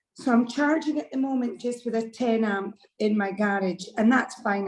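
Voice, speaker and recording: In a Scottish accent, a woman with a fairly high pitch and a somewhat breathy voice speaks at a moderate pace. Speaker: club member asking a question. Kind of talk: casual chat.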